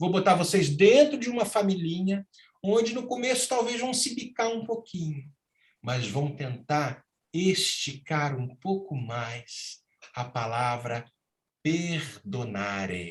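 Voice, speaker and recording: This man speaks at a very slow pace. His pitch swings very widely. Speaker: spiritist lecturer. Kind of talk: lecture. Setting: virtual talk. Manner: emotional, impassioned.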